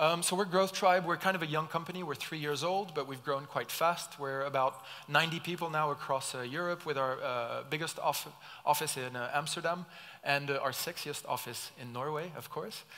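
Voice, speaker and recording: A man's fairly high-pitched voice, bright and sharp in tone, with fairly even intonation. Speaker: startup co-founder giving a conference talk. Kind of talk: conference keynote talk. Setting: stage with audience. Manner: fast.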